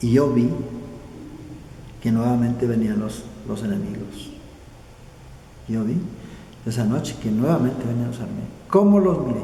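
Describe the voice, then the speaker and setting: A man talks at a moderate pace with lively intonation. Noticeable background noise and audible room echo are present. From southern Colombia (Nariño). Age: 80s+. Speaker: war veteran. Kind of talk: oral history interview. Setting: indoors at veterans' association office. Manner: halting, repeats words.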